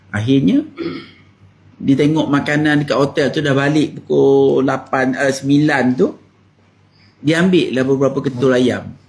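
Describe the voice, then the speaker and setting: A somewhat breathy man speaks with a fairly high pitch, ordinary pitch variation, and very even loudness. His pace is fairly slow, with long, frequent pauses. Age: 60s. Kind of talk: talk to camera.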